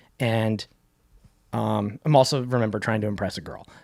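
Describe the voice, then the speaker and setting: Speaking at a very fast pace with an Arizona accent, a man has a fairly low pitch and ordinary pitch variation. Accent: US Southwest (Arizona) American. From Arizona, Phoenix area (Cave Creek/Carefree). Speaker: rock singer and songwriter. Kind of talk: casual interview chat. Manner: fast, filler-heavy with many restarts.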